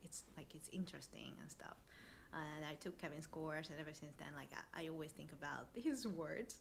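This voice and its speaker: The speaker has a non-native accent. Delivery comes at a moderate pace. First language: not English. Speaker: marketer. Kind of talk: casual chat.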